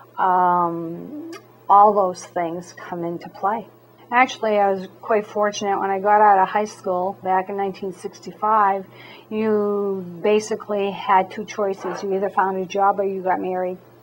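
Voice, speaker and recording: With noticeable background noise behind it, the speech comes at a fairly slow pace with fairly even intonation. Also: woman, medium pitch for a woman. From Maine. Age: 60s. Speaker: city clerk. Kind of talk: interview.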